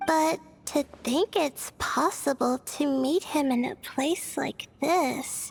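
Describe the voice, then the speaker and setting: Putting on a character voice, a woman speaks at a very slow pace and a high pitch, the sound dry and close with no echo and clear music in the background. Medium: video game. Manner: hesitant, stammering.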